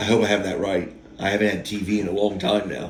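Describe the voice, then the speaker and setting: A man's fairly low-pitched voice with audible room echo. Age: 50s. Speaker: YouTube storyteller. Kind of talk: casual monologue. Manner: halting.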